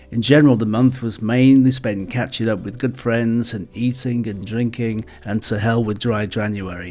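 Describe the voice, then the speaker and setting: Over music in the background, a man speaks at a moderate pace and medium pitch with fairly even intonation and hardly any pauses. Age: 60s. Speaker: retired vlogger. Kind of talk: personal vlog narration.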